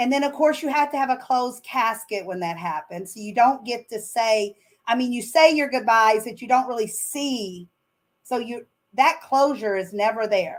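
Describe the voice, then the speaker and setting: Speaking at a moderate pace with a Southern US accent, a woman with a high pitch shows ordinary pitch variation and big swings in loudness. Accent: Southern US accent, noticeable. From Arkansas. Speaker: author and business owner. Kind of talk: interview.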